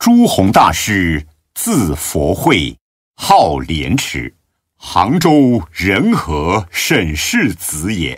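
Against a quiet background, a man speaks very slowly in a very deep, low voice with vocal fry and very wide pitch swings. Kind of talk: devotional audiobook reading of Buddhist biography (radio drama style). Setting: recording studio. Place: studio.

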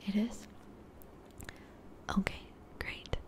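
Whispered words from a woman. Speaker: ASMR creator playing a friend. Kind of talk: ASMR roleplay.

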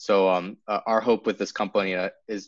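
With an American accent, a man talks at a moderate pace. Behind him, the background stays quiet. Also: dry sound with no echo. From US Northeast (New Hampshire). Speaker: startup cofounder; guest. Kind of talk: casual interview. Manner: halting, many fillers and repeats. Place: home room.

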